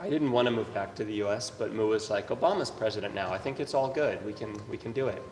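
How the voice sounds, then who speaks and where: Amid noticeable background noise, a man at a medium pitch talks very fast with hardly any pauses and ordinary pitch variation. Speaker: dancer and choreographer. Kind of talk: panel discussion.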